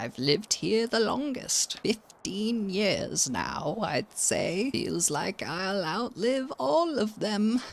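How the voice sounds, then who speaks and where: A put-on character voice at a fairly high pitch, very slow yet with hardly any pauses. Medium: virtual streamer. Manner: sweet, calls others dear.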